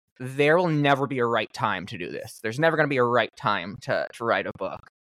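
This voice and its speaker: An unremarkable speaking voice from a man with an American accent, medium-pitched with lively intonation, at a moderate pace, in a dry, close sound with no echo. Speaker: podcast host. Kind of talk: casual interview chat. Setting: remote call.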